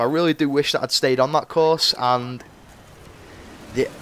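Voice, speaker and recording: A man speaks with a northwest English accent. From northwest England, Cheshire. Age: 20s. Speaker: gaming youtuber. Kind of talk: gameplay commentary chat. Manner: casual, rambling with fillers.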